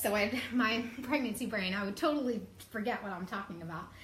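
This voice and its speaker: The intonation is lively. There is audible room echo. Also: woman. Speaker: live show host. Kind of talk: casual live stream talk. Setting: Facebook live video. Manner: filler-heavy, many ums.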